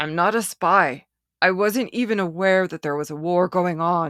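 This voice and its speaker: A woman uses a put-on character voice at a fairly low pitch, speaking at a moderate pace with ordinary pitch variation on a very clean recording with a silent background. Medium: read story. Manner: hesitant, cautious.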